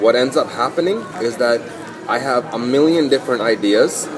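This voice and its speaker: The voice carries ordinary pitch variation against noticeable background noise. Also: man. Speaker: podcast host. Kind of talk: casual chat. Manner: fast.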